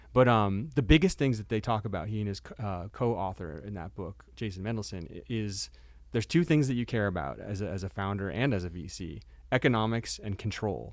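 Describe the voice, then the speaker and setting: A man's fairly low voice with vocal fry and lively intonation, at a fairly quick pace, on a very clean recording with a silent background. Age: 40s. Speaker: startup investor. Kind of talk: casual chat. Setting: studio.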